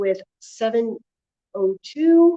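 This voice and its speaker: A woman speaks loudly at a very slow pace. The sound is dry and close, with no echo. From northern US. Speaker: livestreaming vlogger. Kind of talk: livestream commentary.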